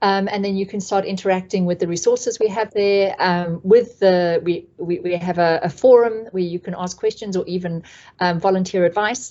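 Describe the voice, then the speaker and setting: In a South African accent, a woman speaks at a medium pitch and a moderate pace with fairly even intonation. She takes hardly any pauses. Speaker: community trainer. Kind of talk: online training presentation. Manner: hesitant, many fillers.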